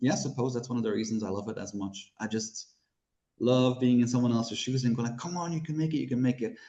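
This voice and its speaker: Talking at a very fast pace, a man uses a medium pitch and a dark, mellow tone with ordinary pitch variation. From Belgium. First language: Dutch/Flemish. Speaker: horror author. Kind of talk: interview.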